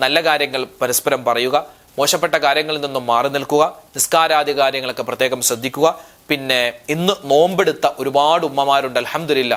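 This is an unremarkable speaking voice with fairly even intonation. Its loudness stays very even. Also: man, fairly high pitch for a man. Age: 30s. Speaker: Islamic preacher. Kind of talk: religious class with prayers.

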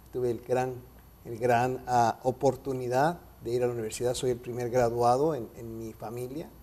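A man speaks with a Mexican accent. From Mexico City. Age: 50s. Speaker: radio announcer and photographer; radio announcer. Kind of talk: interview. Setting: studio. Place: studio. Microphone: lapel.

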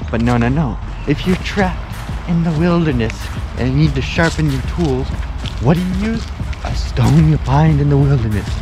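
A man's very deep, low voice at a moderate pace with ordinary pitch variation, dry with no echo, over clear music in the background. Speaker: vlogger. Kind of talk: casual vlog chat. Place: open country. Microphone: phone near.

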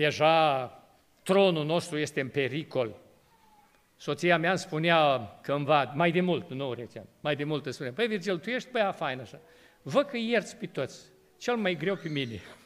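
Here a man talks at a moderate pace with a fairly high pitch. His intonation is lively. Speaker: pastor. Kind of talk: sermon. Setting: church. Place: church. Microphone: podium.

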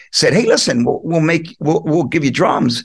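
With an American accent and vocal fry, a man speaks at a fairly high pitch. His pitch variation is ordinary, set against a quiet background. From Philadelphia area, US. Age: 60s. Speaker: rock drummer. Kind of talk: casual interview. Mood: warm, reminiscing. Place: home room. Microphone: video call.

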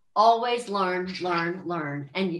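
There is audible room echo around this woman's fairly low voice, which moves through an ordinary range of pitch. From US, Maryland. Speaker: country singer; guest. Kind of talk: casual interview. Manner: animated. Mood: upbeat, encouraging. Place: home room. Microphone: video call.

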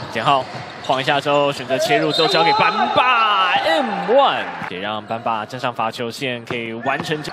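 A man's moderate-paced speech comes through with noticeable background noise behind it. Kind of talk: live sports commentary. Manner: excitable, with exclamations like wow at good plays.

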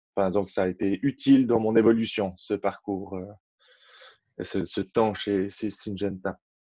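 Fairly low and dark, mellow in tone, a man speaks at a fairly slow pace with fairly even intonation and long, frequent pauses. The sound is dry with no echo, over a quiet background. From French-speaking Switzerland, Renens near Lausanne; Switzerland. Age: 30s. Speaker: farmer; interviewee. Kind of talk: interview conversation. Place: home room. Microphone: webcam.

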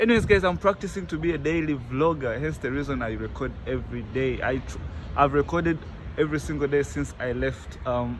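Background noise is noticeable here. The talking goes at a fairly quick pace. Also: man. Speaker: travel vlogger. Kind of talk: casual vlog chat. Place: street. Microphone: phone near.

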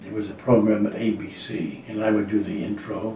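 A man talks at a moderate pace with a fairly low pitch. There is audible room echo and light background noise. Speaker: voice actor. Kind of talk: interview answer. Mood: wry, amused. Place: home room.

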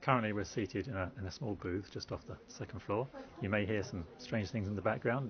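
A man talks at a very fast pace with a fairly low pitch. Noticeable background noise runs underneath. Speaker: picture editor at a news website. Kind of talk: interview answer. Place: booth.

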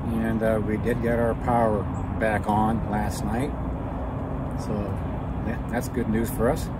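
The speech moves at a fairly slow pace, with a dry sound with no echo under loud background noise. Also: man. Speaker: homesteader vlogger. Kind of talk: casual vlog chat. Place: garden.

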